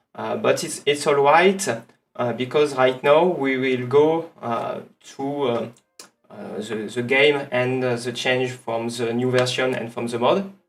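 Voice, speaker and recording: With a strong French accent, a man speaks at a fairly slow pace in a medium pitch, his pitch varying in an ordinary way. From France. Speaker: streamer. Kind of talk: gameplay livestream commentary. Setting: livestream. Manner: halting, many fillers. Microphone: some echo.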